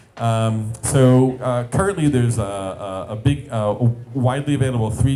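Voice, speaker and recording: Audible room echo and music in the background accompany a man speaking at a medium pitch. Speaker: startup founder and CEO giving a talk. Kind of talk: conference presentation. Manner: fast; hesitant with fillers.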